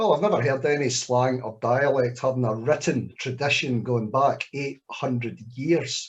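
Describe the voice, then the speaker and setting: Somewhat breathy and medium in pitch, a man speaks at a moderate pace with hardly any pauses and ordinary pitch variation. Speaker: poet. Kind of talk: Q&A at live spoken word event.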